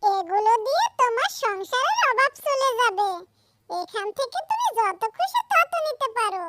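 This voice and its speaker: A female-sounding cartoonish character voice speaks fairly slowly at an extremely high pitch. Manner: soft, kindly.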